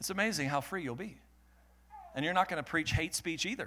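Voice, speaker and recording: The man's tone is bright and sharp, and his pitch varies in an ordinary way. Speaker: pastor. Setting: church with live congregation. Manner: forceful, emphatic and declamatory, driving each line with righteous conviction; rhythmic and repetitive, with call-and-response urging to the congregation.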